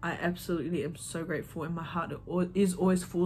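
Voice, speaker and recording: Somewhat breathy speech from a woman at a fairly low pitch and fairly quick pace. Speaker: vlogger. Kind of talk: casual chat. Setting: sitting on her bed.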